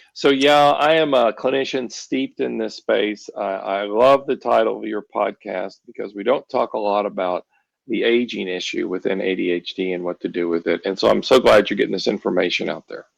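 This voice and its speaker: A man talks at a fairly quick pace, hardly pausing at all. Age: 60s. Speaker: ADHD therapist and author. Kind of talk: podcast interview.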